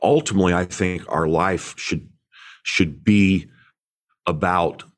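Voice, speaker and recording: An American-accented man with a very deep, low pitch at a fairly slow pace. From Indiana, US Midwest. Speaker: pastor and author. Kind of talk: interview conversation. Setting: video call.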